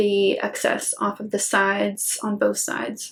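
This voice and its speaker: The woman's voice is medium in pitch and somewhat breathy. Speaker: planner vlogger. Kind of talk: casual tutorial voiceover. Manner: relaxed, conversational.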